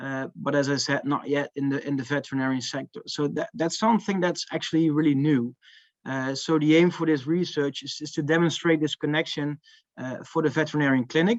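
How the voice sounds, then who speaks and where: A man talks at a fairly quick pace with a Dutch accent. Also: fairly high pitch for a man, ordinary pitch variation. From Netherlands. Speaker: marketing manager presenting research. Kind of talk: conference talk. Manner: hesitant, many fillers.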